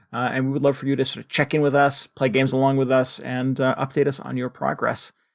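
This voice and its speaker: A Connecticut accent on a very clean recording with a silent background. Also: man. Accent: Northern Connecticut. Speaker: podcast co-host. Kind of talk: casual chat.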